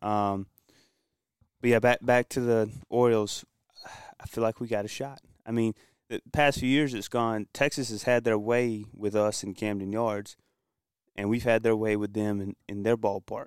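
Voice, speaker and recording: At a moderate pace and medium pitch, a man speaks in a monotone, flat intonation with long, frequent pauses, in a dry, close sound with no echo on a very clean recording with a silent background. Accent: American. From Kinston, North Carolina. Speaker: sports fan guest. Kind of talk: casual sports talk. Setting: studio.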